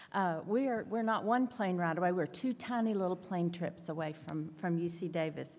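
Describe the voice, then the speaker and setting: Her dark, mellow tone carries a Southern US accent at medium pitch. This woman speaks at a fairly quick pace with ordinary pitch variation. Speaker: director of admissions. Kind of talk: panel presentation. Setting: conference panel with audience.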